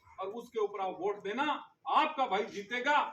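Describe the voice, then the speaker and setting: A raised, projected voice carries lively intonation. Background noise is noticeable. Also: man. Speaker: politician. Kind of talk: campaign speech. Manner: loud.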